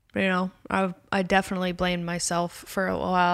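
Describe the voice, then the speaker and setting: A medium-pitched woman with an American accent at a fairly quick pace, on a very clean recording with a silent background. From US West Coast, Los Angeles (Calabasas). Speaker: author and comedian. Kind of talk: casual chat.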